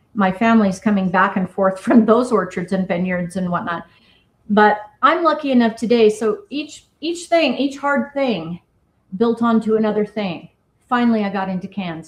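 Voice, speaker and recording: At a fairly quick pace, a woman talks in a somewhat breathy voice. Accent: American. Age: 50s. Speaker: cidermaker and business founder. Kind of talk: interview.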